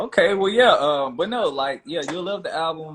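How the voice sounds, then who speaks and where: At a moderate pace, the speaker uses very wide pitch swings with a Memphis accent. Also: man. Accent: Southern US (Memphis). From US South, Memphis. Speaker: R&B singer. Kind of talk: casual interview. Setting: Instagram live video call.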